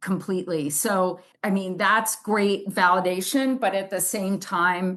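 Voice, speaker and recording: A woman speaks with a plain, everyday voice at a medium pitch. Her pace is fairly slow, her intonation fairly even, and the background quiet. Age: 60s. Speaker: artist and author. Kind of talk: podcast interview. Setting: video call.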